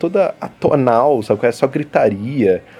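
A man's fairly high voice with a dark, mellow tone and lively intonation. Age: 20s. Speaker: podcast host. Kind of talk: casual chat.

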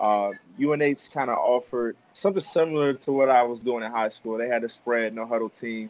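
A man in a normal speaking voice, medium-pitched, with ordinary pitch variation and a fairly quick pace. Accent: American. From Maryland, US. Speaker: professional football player. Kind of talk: casual interview. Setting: video call.

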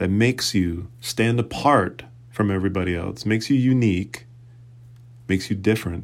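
A man speaks with an American accent at a moderate pace. His pitch sits fairly low and varies in an ordinary way. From New England (Boston, Fall River). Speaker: podcast host. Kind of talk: solo monologue podcast. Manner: casual, halting with fillers.

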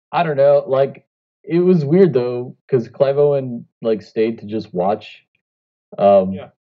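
A man's plain, everyday voice at a medium pitch and fairly slow pace, with lively intonation and big swings in loudness. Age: 30s. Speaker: podcast co-host. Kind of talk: casual chat.

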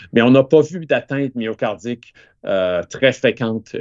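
Here a man speaks at a moderate pace and medium pitch. The sound is dry and close, with no echo. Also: quiet background. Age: 50s. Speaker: cardiac surgeon. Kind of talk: interview. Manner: halting, many repetitions.

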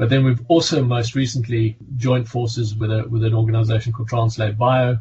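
In a South African accent, a man speaks at a moderate pace and sounds somewhat breathy. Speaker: physician and pharmaceutical medical director. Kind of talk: interview. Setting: video call.

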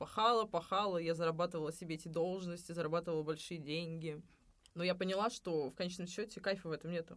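The speech comes at a very fast pace in a very clean recording with a silent background. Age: 30s. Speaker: cafe owner and restaurant consultant. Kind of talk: podcast interview.

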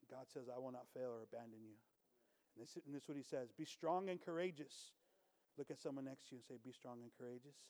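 Talking at a very fast pace, a man keeps a medium pitch. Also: ordinary pitch variation. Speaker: visiting preacher. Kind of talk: sermon. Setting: church with congregation.

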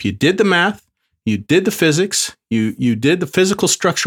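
A man's voice shows vocal fry and very wide pitch swings. The recording is very clean, and the background is silent. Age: 40s. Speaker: podcast host and business coach. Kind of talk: motivational monologue.

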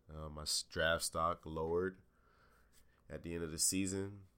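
In an American accent, a man with a very deep, low pitch speaks at a moderate pace in a flat monotone. His tone is bright and sharp, on a very clean recording with a silent background. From Jacksonville, Florida. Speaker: podcast host, former college athlete. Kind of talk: casual solo podcast monologue. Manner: casual, laid-back.

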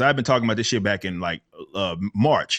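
Against a quiet background, a man speaks in a bright, sharp tone with vocal fry. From US South, South Dallas, Texas. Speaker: metal musician and political commentator. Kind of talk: casual chat.

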